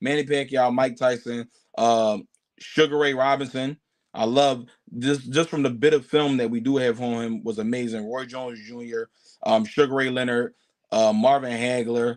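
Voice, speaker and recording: An unremarkable speaking voice with an American accent, moderate pace and fairly even intonation. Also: man, medium pitch for a man. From Philadelphia, US. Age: 20s. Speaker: professional boxer and content creator. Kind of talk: podcast interview.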